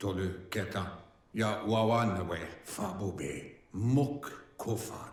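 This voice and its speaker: A man's put-on character voice, fairly low in pitch, at a very slow pace with long, frequent pauses and a slight echo. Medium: video game. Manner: invented gibberish language.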